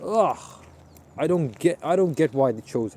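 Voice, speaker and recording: Lively intonation runs through this man's speech. His voice sits fairly high. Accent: American. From Pakistan. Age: 20s. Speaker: student vlogger. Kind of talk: casual vlog monologue. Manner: halting, many fillers and restarts.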